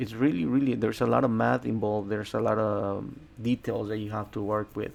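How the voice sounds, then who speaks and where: A man speaks in a Spanish accent with a fairly low pitch. His intonation stays fairly even. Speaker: day trader and trading educator. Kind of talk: trading commentary to camera. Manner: halting, many repetitions.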